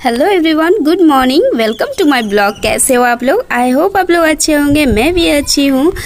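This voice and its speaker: A woman speaks at a high pitch and a fairly quick pace. Her intonation is lively and her loudness very even. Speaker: vlogger. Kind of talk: vlog narration.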